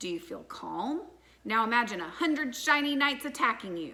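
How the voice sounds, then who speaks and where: A female-sounding, squeaky put-on character voice, high in pitch, moves at a moderate pace. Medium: read story.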